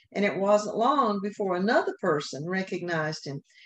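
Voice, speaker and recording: At a moderate pace, a woman with a Southern US accent talks at medium pitch with ordinary pitch variation. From US South. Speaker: Sunday school teacher. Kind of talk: Bible lesson. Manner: occasional hesitations.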